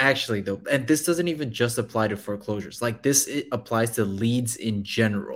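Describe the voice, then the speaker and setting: This man has a plain, everyday voice at a medium pitch, with ordinary pitch variation. He talks at a fairly quick pace with hardly any pauses. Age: 20s. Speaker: real estate investor. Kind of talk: casual chat on live stream. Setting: joined live stream remotely.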